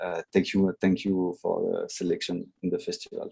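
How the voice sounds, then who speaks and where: Fairly quick speech with a French accent. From France. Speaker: filmmaker. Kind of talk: video call panel chat. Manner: halting.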